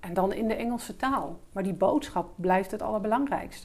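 Delivered at a moderate pace with ordinary pitch variation, this is a plain, everyday voice. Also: woman. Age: 50s. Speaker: business English teacher and entrepreneur. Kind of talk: interview.

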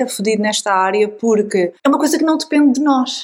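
An unremarkable speaking voice belongs to a woman who talks fairly high in pitch, with ordinary variation, at a moderate pace. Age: 40s. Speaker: podcast host and writer. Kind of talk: casual chat.

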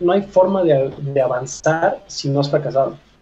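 A man's very slow, somewhat breathy voice with a dark, mellow tone, fairly high pitch and fairly even intonation. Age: 30s. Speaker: fitness coach. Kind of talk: interview conversation.

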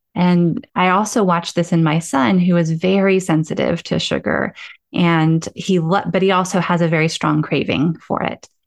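A woman with a normal speaking voice, fairly low in pitch, at a moderate pace with ordinary pitch variation and very even loudness. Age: 40s. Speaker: podcast host and meditation guide. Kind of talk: casual chat.

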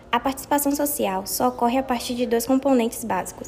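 The woman's pitch is high. Noticeable background noise runs behind her. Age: 20s. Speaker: apprentice worker. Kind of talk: prepared talk read aloud.

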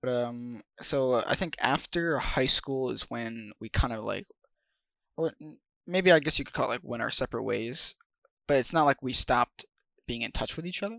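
A man with a medium pitch talks at a moderate pace, leaving long, frequent pauses. His loudness swings widely while his pitch variation stays ordinary. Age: 20s. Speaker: podcast co-host. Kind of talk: casual chat.

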